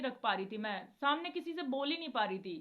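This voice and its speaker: The woman's voice is high, with lively intonation throughout. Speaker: devotional video creator. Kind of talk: casual devotional talk to viewers.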